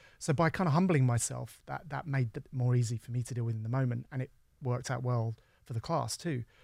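Speaking at a very fast pace with an English accent, a man uses a medium pitch, fairly even intonation and a somewhat breathy, dark, mellow tone. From England. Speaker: university dean and professor. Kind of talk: casual interview. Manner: halting.

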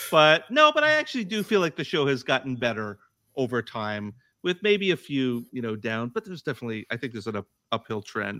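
In an American accent, a man talks at a fairly quick pace with a bright, sharp tone, a medium pitch and very wide pitch swings, on a very clean recording with a silent background. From United States. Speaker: comedy podcaster, sketch writer. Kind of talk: casual chat.

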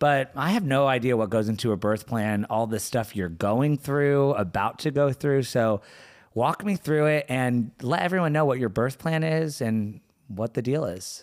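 A man's medium-pitched voice with lively intonation, a moderate pace and very even loudness, on a very clean recording with a silent background. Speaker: podcast co-host. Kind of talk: casual chat. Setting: co-host's living room. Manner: relaxed.

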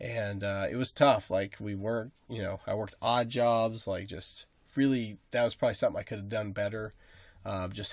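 A man speaks with an American accent in a normal speaking voice, at a fairly quick pace with fairly even intonation. The recording is very clean, with a silent background. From rural Nebraska. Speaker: podcast co-host. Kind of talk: casual chat.

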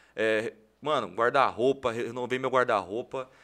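A man with a bright, sharp tone in a very clean recording with a silent background. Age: 20s. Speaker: social media influencer and entrepreneur. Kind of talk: casual interview chat.

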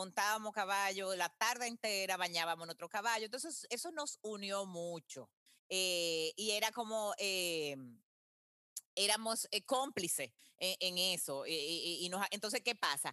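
Using an unremarkable speaking voice, a woman talks at a fairly slow pace and medium pitch, with ordinary pitch variation. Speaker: marathon runner and marketing executive. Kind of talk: interview.

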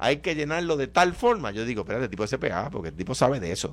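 Vocal fry and very wide pitch swings on a very clean recording with a silent background. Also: man. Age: 50s. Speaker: radio show panelist. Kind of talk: heated debate.

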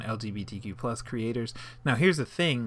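This man has a plain, everyday voice at a medium pitch, with ordinary pitch variation. He speaks at a moderate pace in a very clean recording with a silent background. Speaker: podcast co-host. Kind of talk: casual banter. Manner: laid-back, chatty.

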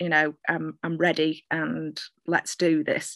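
Recorded dry and close with no echo, a woman talks in a Mancunian accent at a fairly low pitch. Her pace is very slow and her pitch varies in an ordinary way. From Manchester, northern England. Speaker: poet. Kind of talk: casual interview chat.

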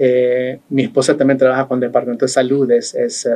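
A man's dark, mellow voice, fairly high in pitch, with fairly even intonation and a fairly quick pace. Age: 50s. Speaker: election board official. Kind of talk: interview. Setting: studio.

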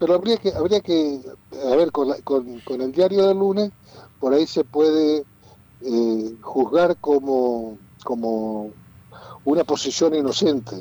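At a very slow pace with long, frequent pauses, a man with a fairly high pitch and a dark, mellow tone uses lively intonation. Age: 60s. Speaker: lawyer and local politician. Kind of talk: radio interview. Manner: halting.

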